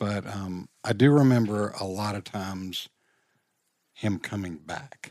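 A man with an unremarkable speaking voice and an American accent talks fairly slowly at a fairly low pitch, with ordinary pitch variation and big swings in loudness. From Richmond, Virginia. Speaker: counseling nonprofit founder. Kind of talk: casual interview.

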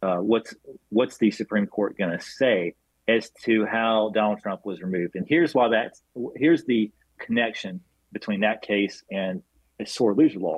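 An unremarkable speaking voice from a man with an American accent, moderate pace and ordinary pitch variation. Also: fairly low pitch for a man. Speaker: former congressman, political organization director. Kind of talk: interview. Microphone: outdated computer, dropped connection.

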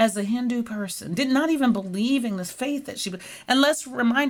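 Speaking at a fairly quick pace, a woman's voice carries vocal fry. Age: 50s. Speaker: nurse scientist. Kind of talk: interview.

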